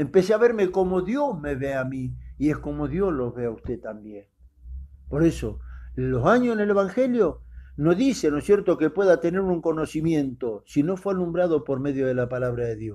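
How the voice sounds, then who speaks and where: Against a quiet background, a man with a dark, mellow tone and fairly high pitch talks at a moderate pace, his pitch swinging very widely. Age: 60s. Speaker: preacher. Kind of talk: sermon.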